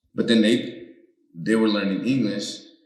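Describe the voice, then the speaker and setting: In a Spanish accent, the speaker keeps a moderate pace and fairly even intonation, with audible room echo. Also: man. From United States. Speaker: comedian. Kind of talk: casual chat.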